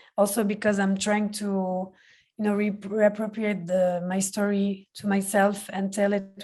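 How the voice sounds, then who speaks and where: Against a quiet background, a woman with a dark, mellow tone speaks at a medium pitch and moderate pace. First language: Palestinian Arabic. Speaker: film director. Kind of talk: Q&A interview. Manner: halting.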